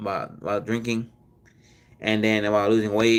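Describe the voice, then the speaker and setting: A man's tone comes across bright and sharp. His pitch is medium. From Mexico and US, Mexican-American family. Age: 20s. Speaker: livestreamer, former mukbang creator. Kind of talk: casual livestream chat. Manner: halting, many repetitions and fillers.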